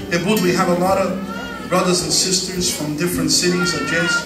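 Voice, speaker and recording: Clear background music under a man's fairly quick delivery. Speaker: preacher. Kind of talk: sermon. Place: church. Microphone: handheld.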